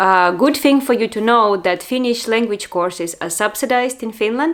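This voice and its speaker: A woman speaks with a Russian accent. The recording is very clean, with a silent background. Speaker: vlogger. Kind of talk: personal vlog monologue. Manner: hesitant, with fillers.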